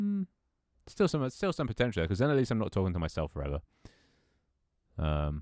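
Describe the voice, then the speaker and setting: A man with a British accent, fairly low-pitched, talking very fast with very wide pitch swings and long, frequent pauses, in a very clean recording with a silent background and a dry, close sound with no echo. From Britain. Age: 20s. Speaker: streamer. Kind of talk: casual chat; reading aloud.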